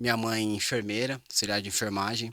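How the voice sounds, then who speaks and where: On a very clean recording with nothing in the background, the voice has a bright, sharp tone. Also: man. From Greater São Paulo, Brazil. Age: 30s. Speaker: business strategist and NLP trainer. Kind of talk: interview conversation.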